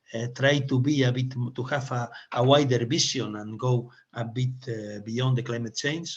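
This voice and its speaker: A man speaks at medium pitch and a moderate pace in a Spanish accent, his intonation fairly even and his voice somewhat breathy. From Spain. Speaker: webinar moderator and speaker. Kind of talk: webinar presentation. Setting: online webinar. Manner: halting, many fillers and restarts.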